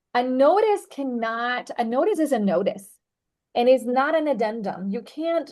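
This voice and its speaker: Against a quiet background, a woman speaks at a fairly slow pace with a high pitch and lively intonation. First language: not English. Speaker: real estate attorney. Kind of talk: training presentation. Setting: video call.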